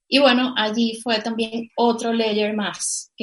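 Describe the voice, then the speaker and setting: A slightly airy quality runs through this voice. It belongs to a woman. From Venezuela, Caracas. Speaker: cannabis entrepreneur. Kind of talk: interview.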